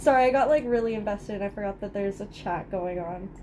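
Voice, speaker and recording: Using a normal speaking voice, the woman keeps a moderate pace and ordinary pitch variation. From Canada. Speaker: livestreamer crafting. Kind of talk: casual livestream chat while crocheting. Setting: live stream with chat.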